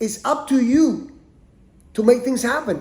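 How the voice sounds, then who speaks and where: A man with a Spanish accent speaks in an animated tone with ordinary pitch variation. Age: 60s. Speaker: podcast host, martial arts teacher. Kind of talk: personal monologue. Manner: halting, repeats words.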